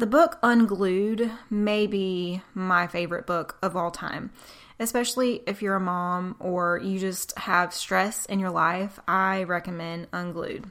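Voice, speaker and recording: A woman speaks with a Southern US accent. Her pace is very slow. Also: medium pitch for a woman, very clean recording, silent background. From US South. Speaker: podcast host. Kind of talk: casual faith talk monologue. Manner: animated.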